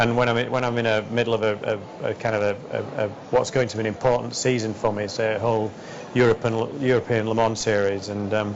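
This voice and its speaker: With a Yorkshire accent, a man of medium pitch speaks at a very fast pace in monotone, flat intonation against noticeable background noise. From West Yorkshire, England. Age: 40s. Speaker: entrepreneur and racing driver. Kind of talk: interview answer.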